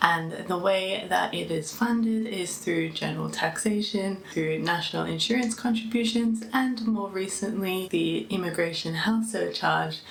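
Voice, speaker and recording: A woman with an Australian accent speaks at a medium pitch and a fairly slow pace, with ordinary pitch variation, hardly any pauses, audible room echo and noticeable background noise. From Australia, Melbourne. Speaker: vlogger. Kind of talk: personal vlog. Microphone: mic unplugged, poor sound near end.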